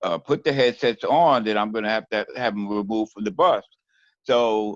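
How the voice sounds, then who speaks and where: Dry and close with no echo, a man's fairly low voice moves at a fairly quick pace with ordinary pitch variation. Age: 60s. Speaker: job applicant, former bus driver. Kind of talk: job interview. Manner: halting, many fillers and repetitions.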